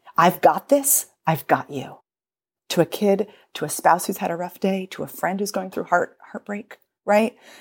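A woman speaks in an ordinary speaking voice with an American accent. Her pitch is medium and her pace moderate. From United States. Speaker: dialect and speech coach, author. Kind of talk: casual chat with passages read aloud from her book. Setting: remote online recording.

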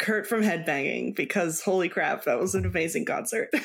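Vocal fry runs through a woman's speech at a moderate pace. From Mexico. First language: Spanish. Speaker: cross stitch designer. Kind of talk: casual interview chat.

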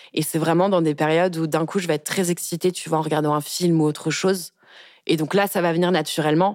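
A woman's very deep, low pitch with fairly even intonation. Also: very clean recording, silent background. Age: 20s. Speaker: communications officer sharing personal story of harassment. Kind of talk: testimony. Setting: studio.

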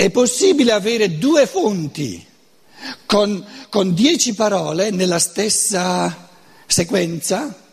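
Speaking very slowly with long, frequent pauses, a man with a high pitch and a Lombard accent uses lively intonation against noticeable background noise. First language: Lombard dialect (speaking Italian). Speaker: lecturer on philosophy. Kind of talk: lecture. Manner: halting.

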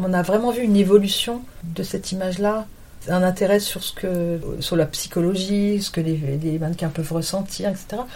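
A woman's medium-pitched voice moves at a moderate speed, with intonation that stays fairly level. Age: 50s. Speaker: model and agent. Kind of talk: interview. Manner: hesitant.

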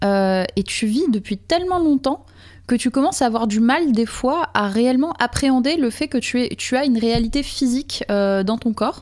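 Keeping her loudness very even, a woman speaks at a moderate pace in a high pitch. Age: 40s. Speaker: live-action role-player. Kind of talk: casual chat. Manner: halting.

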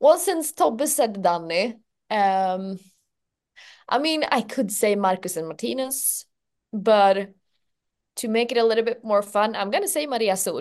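A woman with a Swedish accent and lively intonation, fairly high in pitch, at a fairly slow pace with long, frequent pauses, over a quiet background. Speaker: entertainment journalist. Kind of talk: casual chat.

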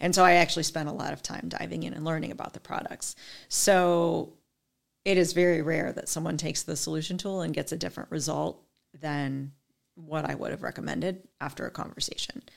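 At a fairly quick pace, a woman with a very deep, low pitch and vocal fry shows big swings in loudness on a very clean recording with a silent background. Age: 40s. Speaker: skincare sales consultant. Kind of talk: casual chat.

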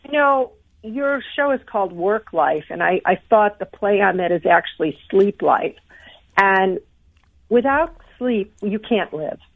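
A woman at a fairly high pitch with lively intonation and a fairly slow pace. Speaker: sleep expert and corporate speaker. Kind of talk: interview answering questions.

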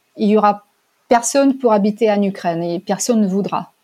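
Speaking with a Russian accent, a woman is heard. Her voice sits at a medium pitch. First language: Russian (speaking French). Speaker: language teacher and interpreter. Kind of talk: testimony. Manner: hesitant with fillers.

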